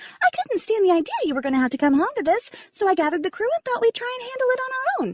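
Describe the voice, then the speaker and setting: Doing a put-on character voice, a woman squeaks at an extremely high pitch and a very fast pace, her pitch swinging very widely. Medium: read story.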